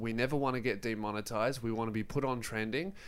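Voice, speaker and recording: The voice carries an Australian accent. It moves at a moderate pace. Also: man. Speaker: comedian and YouTuber. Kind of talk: casual chat. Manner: irreverent, joking, swears a lot.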